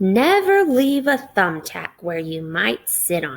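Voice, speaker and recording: A woman's put-on character voice at a medium pitch, with very wide pitch swings and a fairly slow pace. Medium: read story.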